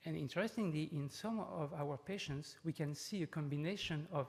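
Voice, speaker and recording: A man with a French accent speaks at a moderate pace. His pitch is fairly high, with ordinary variation. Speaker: neurologist, professor. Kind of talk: conference lecture. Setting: conference talk with audience. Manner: hesitant, many fillers.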